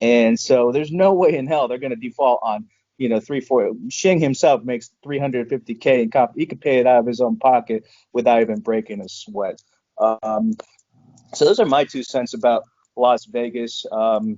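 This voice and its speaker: Speaking at a moderate pace, a man has a normal speaking voice, medium pitch and ordinary pitch variation. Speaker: stock trader guest. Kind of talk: casual screen-share discussion.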